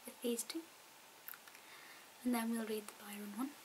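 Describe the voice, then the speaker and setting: Whispering and soft-spoken, a woman with a Scottish accent talks over noticeable background noise. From Scotland. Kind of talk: ASMR talk to camera. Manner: soft-spoken, whispered.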